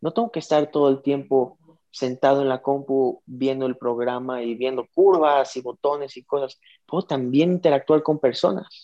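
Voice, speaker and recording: A man with a dark, mellow tone speaks at a fairly high pitch and moderate pace. His pitch varies in an ordinary way, and the sound is dry and close, with no echo. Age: 20s. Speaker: digital media entrepreneur. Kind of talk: interview.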